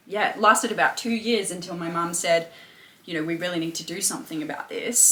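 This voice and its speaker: A woman with an Australian accent speaks at a very fast pace in a fairly low pitch, with ordinary pitch variation. Her loudness swings widely over noticeable background noise. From England, then Australia. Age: 20s. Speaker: personal trainer and mindset coach. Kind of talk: interview testimony. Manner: hesitant, many fillers.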